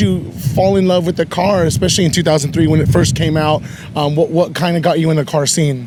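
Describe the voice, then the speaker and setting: Fairly high-pitched man amid noticeable background noise. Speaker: interviewer. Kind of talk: interview questions.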